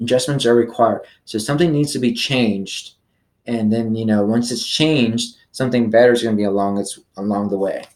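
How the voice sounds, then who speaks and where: Here a man talks at a fairly quick pace. His pitch shows ordinary variation. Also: medium pitch for a man. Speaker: tarot reader. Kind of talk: tarot reading monologue. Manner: halting, stumbles over words; casual, many fillers.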